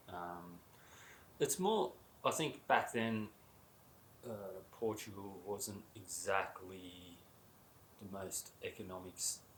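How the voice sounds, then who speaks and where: A man with a fairly low, somewhat breathy voice speaks at a very slow pace, with long, frequent pauses. His intonation is fairly even, while his loudness swings a lot. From Australia. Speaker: coach. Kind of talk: casual chat.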